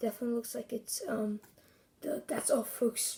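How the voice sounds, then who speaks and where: A woman does a raspy put-on character voice, fairly high in pitch, at a moderate pace with fairly even intonation. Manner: hesitant, rambling.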